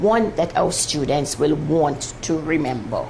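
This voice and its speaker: A woman talks at a fairly slow pace with a fairly low pitch. There is audible room echo and noticeable background noise. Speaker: mathematics teacher on TV. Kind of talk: televised maths lesson. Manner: slow, deliberate.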